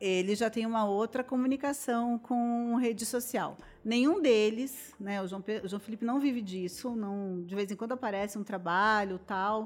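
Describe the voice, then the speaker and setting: An unremarkable speaking voice from a woman, fairly high-pitched, medium in tempo, with ordinary rise and fall in pitch. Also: hardly any pauses. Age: 50s. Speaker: journalist and influencer. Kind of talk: casual chat.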